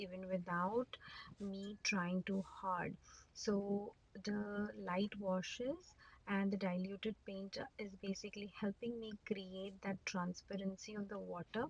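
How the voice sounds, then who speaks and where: Somewhat breathy, a woman with a medium pitch talks at a very slow pace with fairly even intonation. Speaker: watercolor art teacher. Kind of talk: tutorial. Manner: halting.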